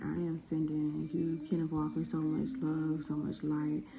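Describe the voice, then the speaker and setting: A woman whispers her words at a moderate pace. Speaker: tarot reader. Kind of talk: tarot reading video. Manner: whispering; casual.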